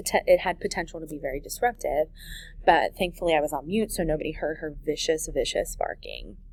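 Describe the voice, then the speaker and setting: The woman talks at a fairly quick pace. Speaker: middle school teacher. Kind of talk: recorded lesson. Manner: fast.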